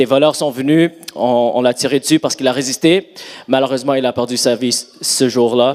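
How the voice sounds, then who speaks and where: Over noticeable background noise, a man talks with an English accent at a fairly high pitch. His pace is moderate, and his pitch variation is ordinary. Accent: English-speaking accent in French. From Montreal, Canada. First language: English (speaking French). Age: 30s. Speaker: pastor. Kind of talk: sermon; testimony. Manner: halting.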